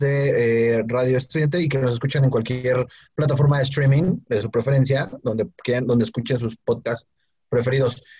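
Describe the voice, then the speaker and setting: Its tone is dark and mellow, and a bit breathy. The delivery keeps a moderate speed. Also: man. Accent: Mexican. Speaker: podcast co-host. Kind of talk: casual chat.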